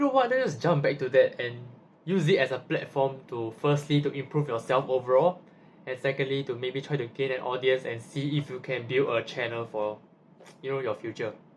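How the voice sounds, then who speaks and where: The man's voice is somewhat breathy. He moves along at a fairly quick pace. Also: medium pitch for a man. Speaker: university student vlogger. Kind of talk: casual vlog monologue. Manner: halting, with repetitions.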